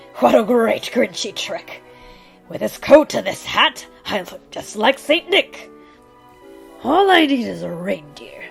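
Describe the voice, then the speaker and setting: A woman's put-on character voice, high in pitch and fairly slow, with faint music in the background. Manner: snarling, sneering.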